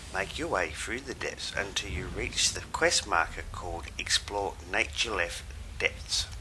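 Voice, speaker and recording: A man with an Australian accent speaks at a fairly slow pace against noticeable background noise. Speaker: gaming video guide maker. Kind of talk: game walkthrough tutorial narration.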